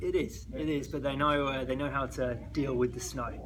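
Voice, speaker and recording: Over noticeable background noise and audible room echo, the speaker goes at a fairly quick pace. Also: man. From England. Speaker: recruiter. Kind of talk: interview. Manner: hesitant, many fillers.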